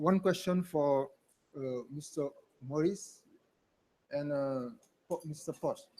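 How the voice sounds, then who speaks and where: A man with a French accent, very slow with long, frequent pauses and fairly even intonation. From Senegal. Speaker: government culture official, audience member. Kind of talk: audience question. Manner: halting. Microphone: mic held too far from mouth.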